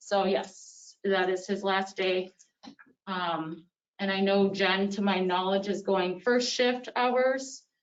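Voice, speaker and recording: This woman speaks at a very slow pace. Her medium-pitched voice keeps a fairly even intonation. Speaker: police officer. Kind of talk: public meeting remarks. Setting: town board meeting.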